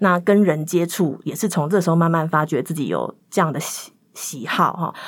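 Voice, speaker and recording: In a very clean recording with a silent background, a woman speaks at a moderate pace in an unremarkable speaking voice, fairly low in pitch, with ordinary pitch variation. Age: 30s. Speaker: podcast guest. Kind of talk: personal storytelling.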